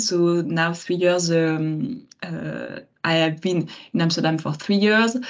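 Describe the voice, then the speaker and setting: Speaking at a very slow pace, a woman has a fairly low pitch and ordinary pitch variation. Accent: French. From France. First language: French. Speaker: marketing manager. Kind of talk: webinar talk. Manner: hesitant, many fillers.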